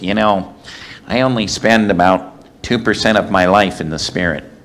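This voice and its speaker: Putting on a nasal character voice, a man talks at a moderate pace and fairly low pitch with fairly even intonation. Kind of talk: sermon-style teaching talk.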